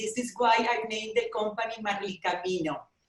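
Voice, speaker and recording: A woman talks with a Spanish accent. Her pitch varies in an ordinary way. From Venezuela. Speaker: travel company owner. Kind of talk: personal testimony. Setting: video call. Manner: halting.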